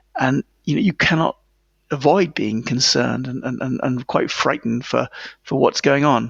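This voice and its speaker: The speech comes at a moderate pace in a British accent. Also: man. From England, small town near London. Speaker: author. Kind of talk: interview.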